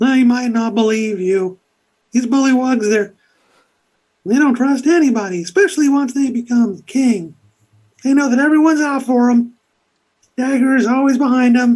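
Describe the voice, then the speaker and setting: Using a put-on character voice with a fairly high pitch, the speaker leaves long, frequent pauses. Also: moderate pace. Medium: actual play. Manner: casual, rambling, hesitant.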